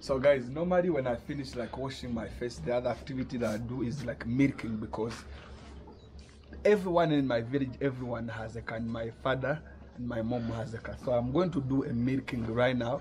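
A somewhat breathy voice moves at a fairly quick pace with ordinary pitch variation over light background noise. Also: man. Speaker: vlogger. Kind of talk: casual vlog chat.

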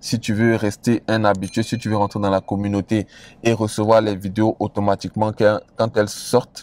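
Speaking at a moderate pace, a man with a fairly low pitch keeps a monotone, flat intonation in a dry sound with no echo. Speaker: investment advice creator. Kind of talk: casual vlog chat. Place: car.

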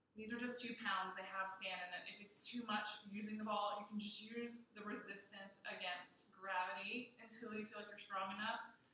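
Over light background noise and audible room echo, a woman with a bright, sharp tone speaks at a moderate pace in a flat, monotone intonation. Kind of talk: tutorial. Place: gym. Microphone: camera far.

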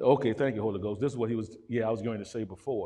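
An animated man at a very fast pace, with ordinary pitch variation and a quiet background. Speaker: pastor. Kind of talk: sermon. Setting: church. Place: church.

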